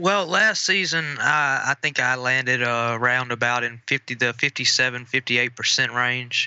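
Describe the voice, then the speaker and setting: A man speaks at a moderate pace with a medium pitch and a bright, sharp tone. His loudness stays very even, and the sound is dry and close with no echo over a quiet background. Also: ordinary pitch variation, hardly any pauses. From Mississippi, US South. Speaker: sports betting analyst. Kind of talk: casual chat. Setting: phone call.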